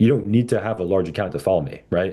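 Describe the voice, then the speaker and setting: A man speaks loudly at a fairly quick pace. His tone is dark and mellow, with vocal fry. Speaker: trading educator. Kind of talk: live stream session. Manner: casual, filler-heavy.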